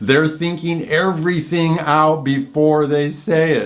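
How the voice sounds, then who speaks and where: A man speaks in a fairly high pitch as audible room echo fills the space around him. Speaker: Chinese medicine practitioner and teacher. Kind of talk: lecture. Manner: halting, with fillers and repetitions.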